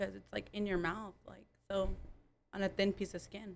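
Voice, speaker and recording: A woman speaks at a moderate pace with vocal fry. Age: 20s. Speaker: upper management worker.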